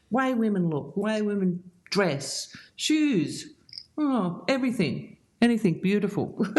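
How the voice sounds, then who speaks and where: Against a quiet background, a somewhat breathy woman at medium pitch speaks at a very slow pace with very wide pitch swings. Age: 70s. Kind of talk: interview answer.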